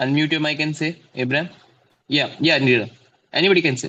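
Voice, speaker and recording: A man with an Indian accent, fairly high-pitched, at a fairly quick pace. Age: 20s. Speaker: math tutor. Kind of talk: online class lesson. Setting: video call.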